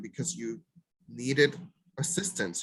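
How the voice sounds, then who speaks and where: A man speaks with a Spanish accent. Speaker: mental health provider. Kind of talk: presentation.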